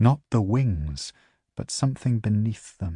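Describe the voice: The plain reading aloud has lively intonation and a quiet background.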